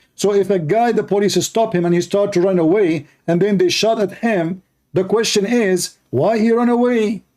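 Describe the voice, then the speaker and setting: A man with an Arabic accent, a high pitch and a dark, mellow tone, moving at a moderate pace with hardly any pauses and very even loudness. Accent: clear Arab. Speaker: religious debater, live streamer. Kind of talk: live stream commentary. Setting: live stream with Skype calls. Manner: animated.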